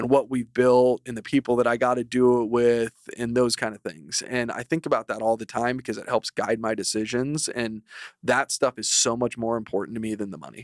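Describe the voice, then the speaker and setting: The sound is dry and close with no echo. A man speaks at a medium pitch and a fairly quick pace. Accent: American. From Idaho, near Boise. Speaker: personal injury lawyer, law firm co-founder. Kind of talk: podcast interview. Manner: animated.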